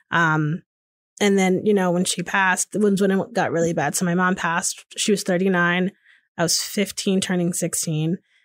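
In an American accent, a woman speaks with flat, monotone intonation, the sound dry and close with no echo. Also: medium pitch for a woman, moderate pace. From Connecticut, US. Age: 30s. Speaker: podcaster and diversity consultant. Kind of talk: casual interview. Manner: hesitant, many fillers.

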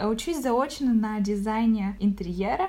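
Fairly high in pitch, a woman speaks at a fairly slow pace. She has a plain, everyday voice. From Ukraine, Zaporizhzhia. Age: 20s. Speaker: podcast guest, corporate manager. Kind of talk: casual chat. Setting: call.

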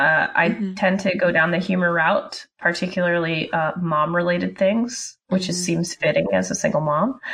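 A woman speaks with an unremarkable speaking voice at a moderate pace, with hardly any pauses. Her loudness stays very even and her intonation fairly even. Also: fairly low pitch for a woman. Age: 30s. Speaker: SVG designer and engineer. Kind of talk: casual chat.

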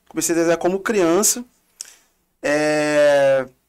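This man talks at a very slow pace, his pitch varying in an ordinary way. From Rio de Janeiro, Realengo (west zone). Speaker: visual artist. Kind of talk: casual interview chat.

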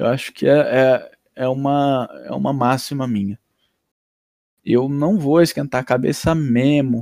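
Here a man speaks at a fairly slow pace in a dark, mellow tone. The recording is very clean, with a silent background and a dry, close sound with no echo. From Paraná, Brazil (Londrina). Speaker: podcast guest, friend of host. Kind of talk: casual interview chat.

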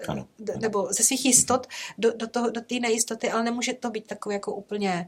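A woman speaks at a very fast pace in a fairly high pitch, with fairly even intonation. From rural Czechia, village. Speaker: nun, educator and carer. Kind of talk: casual interview.

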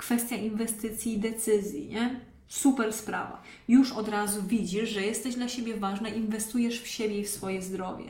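Over noticeable background noise and audible room echo, a woman with a fairly high pitch speaks at a moderate pace in a monotone, flat intonation. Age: 30s. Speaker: online fitness coach. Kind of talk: live-streamed podcast monologue. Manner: casual.

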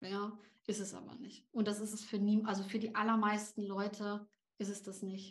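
A woman of medium pitch speaks at a moderate pace in a somewhat breathy, monotone, flat voice. Audible room echo surrounds her. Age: 30s. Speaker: LinkedIn coach and founder. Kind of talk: podcast interview.

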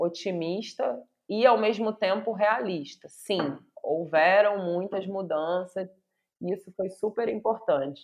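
The speaker is a woman with a medium pitch. She talks at a very slow pace with ordinary pitch variation. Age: 40s. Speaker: university professor. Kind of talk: interview conversation.

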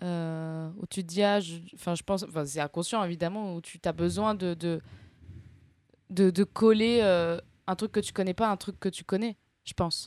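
Fairly slow, fairly even speech with long, frequent pauses and big swings in loudness, in a dry, close sound with no echo on a very clean recording with a silent background. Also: woman, fairly low pitch for a woman. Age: 20s. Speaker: comedian and screenwriter. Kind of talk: casual interview chat. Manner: halting.

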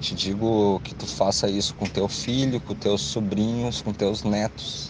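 A man's fairly low-pitched voice with ordinary pitch variation, a fairly slow pace and noticeable background noise. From Rio Grande do Sul, Brazil (Canoas). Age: 20s. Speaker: listener giving testimony. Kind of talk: recorded testimony.

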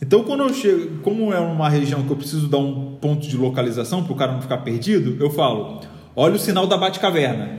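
The speech runs at a very fast pace with hardly any pauses and ordinary pitch variation, amid noticeable background noise and audible room echo. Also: man. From Rio de Janeiro, Brazil. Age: 30s. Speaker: graphic designer. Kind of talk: casual interview.

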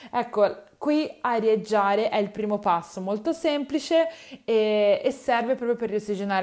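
The woman's voice is fairly high, and she keeps a moderate pace. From Tuscany, Livorno. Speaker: nutritionist podcast host. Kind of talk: solo advice podcast. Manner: hesitant, many fillers.

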